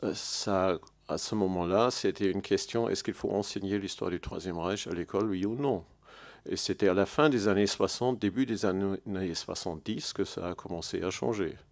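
A man with a German accent speaks at a fairly low pitch against a quiet background. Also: ordinary pitch variation, moderate pace. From Germany. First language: German (speaking French). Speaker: historian; panelist. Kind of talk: panel discussion. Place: hall. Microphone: podium.

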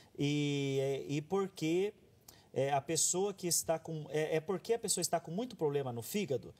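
The man speaks at a moderate pace in a fairly high pitch with ordinary pitch variation. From Brazil. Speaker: TV health show host. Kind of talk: reading viewer questions aloud. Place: studio.

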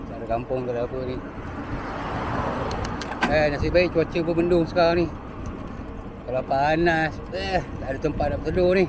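Noticeable background noise sits behind a man speaking at a moderate pace with ordinary pitch variation, in a dry sound with no echo. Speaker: cyclist vlogger. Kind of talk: casual vlog chat. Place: bicycle. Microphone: phone near.

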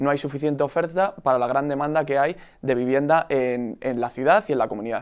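A man talks at a fairly quick pace in an unremarkable speaking voice. His pitch is fairly high, with ordinary variation. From Spain, Madrid region (Aranjuez). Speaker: youth party leader. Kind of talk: political debate.

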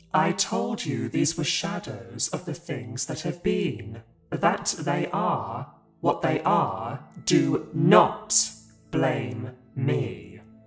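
Using a put-on character voice at a fairly high pitch, a man speaks at a very slow pace, with slight echo and faint music in the background. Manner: calm, solemn.

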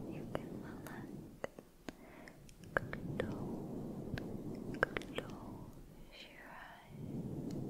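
A soft-spoken woman whispers in a soothing tone. She talks at a very slow pace with long, frequent pauses. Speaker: ASMR creator. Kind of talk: soft-spoken ASMR personal attention. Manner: soft soothing near-whisper. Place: home room.

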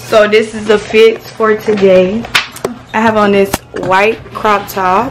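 A woman talks very slowly, and noticeable noise runs in the background. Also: fairly high pitch for a woman. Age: young. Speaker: vlogger. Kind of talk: casual vlog chat. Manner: animated.

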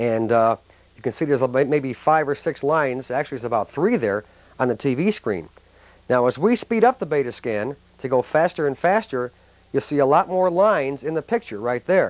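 Lively intonation marks this man's fairly quick speech. The sound is dry with no echo. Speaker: tech reporter. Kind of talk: demonstration commentary.

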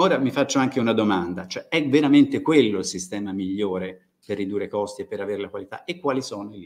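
A man's fairly low voice at a very fast pace, with lively intonation and big swings in loudness. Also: hardly any pauses. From Tuscany, Italy. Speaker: university agronomy researcher; conference presenter. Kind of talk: lecture. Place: hall. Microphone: podium.

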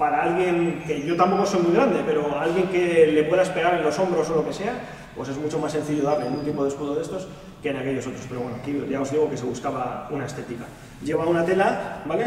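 A man talks at a very fast pace with ordinary pitch variation. Audible room echo and light background noise surround his voice. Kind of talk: casual vlog chat. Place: hall.

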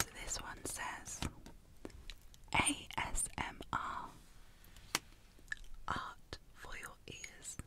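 Someone whispers in a soothing tone at a very slow pace. Long pauses come often. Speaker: ASMR artist and illustrator. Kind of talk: ASMR whisper video. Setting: binaural microphone, close up. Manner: whispered, soothing. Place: home room. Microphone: studio mic.

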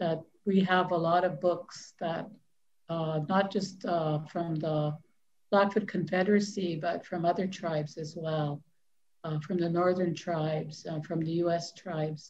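Slowly and in a flat monotone, a woman speaks with a fairly low, somewhat breathy voice. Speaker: library host interviewing an author. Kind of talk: live-stream interview hosting, casual talk. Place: home room. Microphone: video call.

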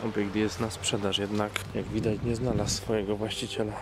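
A man talks at a moderate pace over background music. The sound is dry, with no echo. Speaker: urban explorer narrator. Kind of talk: commentary. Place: open country. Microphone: phone near.

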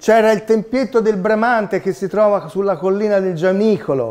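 A man with a dark, mellow tone at a moderate pace. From Tuscany, Italy (Pontedera). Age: 50s. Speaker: 3D printing inventor. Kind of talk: talk to children. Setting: seminar room with audience. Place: meeting room.

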